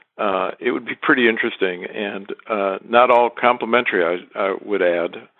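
A man speaks in a normal speaking voice with an American accent, his pitch fairly low and his pace moderate. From Michigan, US. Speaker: listener contributor. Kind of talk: recorded voice message.

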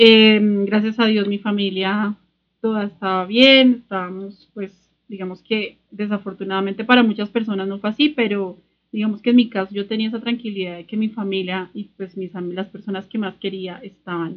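A plain, everyday voice moves at a moderate pace with fairly even intonation and big swings in loudness. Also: woman, medium pitch for a woman. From Colombia, Sogamoso (Boyacá). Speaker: podcast host, craft entrepreneur. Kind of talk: casual chat.

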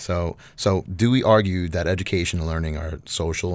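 Speaking with an American accent, a man with a very deep, low pitch moves at a fairly quick pace with ordinary pitch variation over a very clean recording and a silent background. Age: 30s. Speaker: art educator and doctoral candidate. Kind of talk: interview. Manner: halting, many fillers and repeats.

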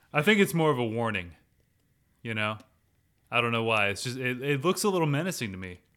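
In a very clean recording with a silent background, a man of medium pitch speaks at a very fast pace in a bright, sharp tone, with very wide pitch swings and long, frequent pauses. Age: adult. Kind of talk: casual chat.

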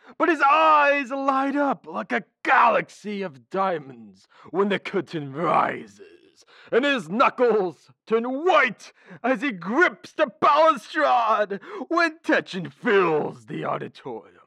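A put-on character voice at a fairly high pitch, very wide pitch swings, and a fairly slow pace. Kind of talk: florid, theatrical declamation. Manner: grandiloquent, melodramatic, lovesick.

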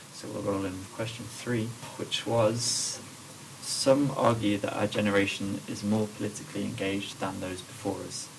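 Fairly low-pitched male speech with fairly even intonation at a moderate pace, plus audible room echo and noticeable background noise. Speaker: podcast host. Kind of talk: casual chat. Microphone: quiet, low microphone level.

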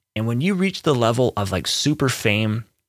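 A normal speaking voice from a man at medium pitch and a moderate pace, with a dry, close sound and no echo. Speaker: music producer and podcast host. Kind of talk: casual solo podcast monologue. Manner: conversational with many fillers. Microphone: testing new preamp on voice.

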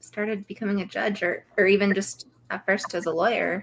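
Speaking at a moderate pace and medium pitch, a woman uses a plain, everyday voice. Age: 30s. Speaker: recovery podcast co-host. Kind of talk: casual interview chat. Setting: live stream.

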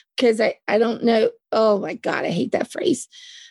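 With a Southern US accent, a woman speaks with ordinary pitch variation. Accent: Southern US drawl. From US South. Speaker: podcast co-host. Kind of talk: casual discussion podcast.

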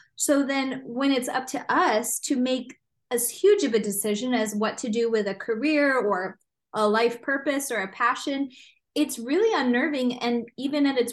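With an American accent and ordinary pitch variation, the speaker is heard against a quiet background. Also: woman. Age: 30s. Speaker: psychologist. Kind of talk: interview.

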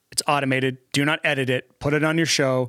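With a bright, sharp tone and a fairly high pitch, a man speaks at a moderate pace in a dry, close recording with no echo. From Alabama. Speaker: podcast host and audio engineer. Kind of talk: casual interview chat.

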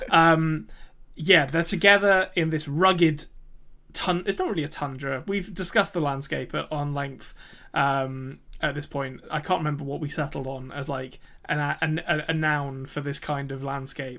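With an English accent and a fairly high pitch, a man speaks at a moderate pace in a bright, sharp tone with fairly even intonation. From England. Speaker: podcast co-host. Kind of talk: casual chat. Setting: remote recording.

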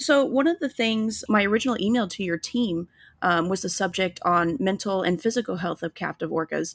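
This woman has an unremarkable speaking voice, medium in pitch, with an American accent and lively intonation. She talks at a fairly quick pace on a very clean recording with a silent background. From Illinois. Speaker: podcast host. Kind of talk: interview.

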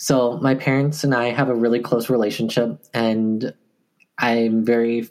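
The voice carries fairly even intonation with an American accent. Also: man, very even loudness. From Wisconsin, US Midwest. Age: 20s. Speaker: Korean adoptee. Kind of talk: interview.

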